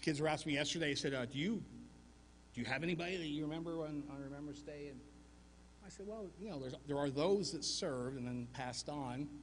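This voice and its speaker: A man with a fairly high pitch and an American accent, talking at a very fast pace, with audible room echo. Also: ordinary pitch variation. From US South, Arkansas mountains. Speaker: war veteran. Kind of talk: Remembrance Day speech.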